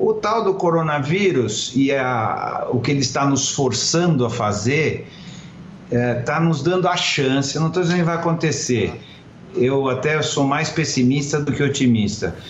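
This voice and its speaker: Delivery is fairly slow, with ordinary pitch variation and very even loudness. Noticeable background noise and audible room echo are present. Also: man, fairly high pitch for a man. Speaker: former advertising executive. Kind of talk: interview.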